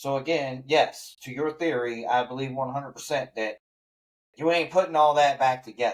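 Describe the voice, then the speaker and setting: A man's normal speaking voice, fairly high-pitched, at a moderate pace with fairly even intonation. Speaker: podcast host. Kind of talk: casual chat.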